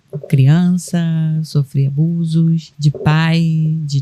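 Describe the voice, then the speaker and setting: A woman speaks at a very slow pace in a very deep, low pitch, monotone and flat, with a dark, mellow, somewhat breathy tone. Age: 60s. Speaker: caregiver and sign language interpreter, guest. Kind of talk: personal testimony in podcast interview.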